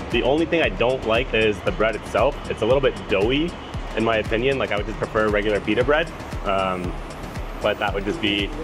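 With clear music in the background, a man speaks fairly quickly and with ordinary pitch variation. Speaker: food vlogger. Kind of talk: casual food review. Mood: enthusiastic, relaxed. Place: cafe. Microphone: camera far.

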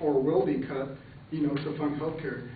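Talking at a fairly quick pace with fairly even intonation, a man is heard amid light background noise and audible room echo. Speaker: speaker. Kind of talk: class speech, debate refutation. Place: classroom.

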